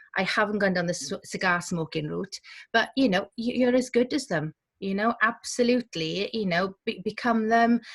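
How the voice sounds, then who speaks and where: At a moderate pace, a woman with a strong Welsh accent speaks in a somewhat breathy, medium-pitched voice with ordinary pitch variation, in a dry, close sound with no echo on a very clean recording with a silent background. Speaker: community journalism director. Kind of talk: panel discussion. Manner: animated.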